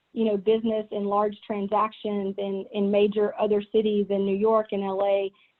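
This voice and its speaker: With a strong Southern US accent, a woman talks at a moderate pace in a monotone, flat intonation, with hardly any pauses. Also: medium pitch for a woman. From US South. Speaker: business executive. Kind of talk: keynote talk.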